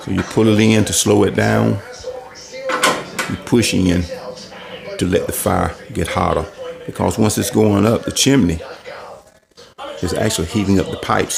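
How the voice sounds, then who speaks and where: A man speaks at a moderate pace, breaking often with long pauses, as noticeable background noise carries on. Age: 60s. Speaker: homeowner vlogger. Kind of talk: tutorial. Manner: casual, conversational.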